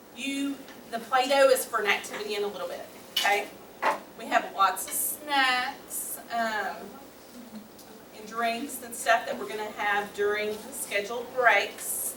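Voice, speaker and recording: A woman with an American accent and fairly high pitch speaks at a fairly slow pace with long, frequent pauses, ordinary pitch variation and big swings in loudness, amid noticeable background noise and audible room echo. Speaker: school nurse leading a class for kids. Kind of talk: workshop class for kids.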